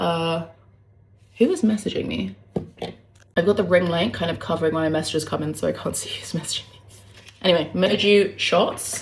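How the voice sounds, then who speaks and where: A woman with a fairly low pitch and vocal fry talks at a fairly quick pace with fairly even intonation and long, frequent pauses. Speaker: lifestyle vlogger. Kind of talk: casual talk to camera.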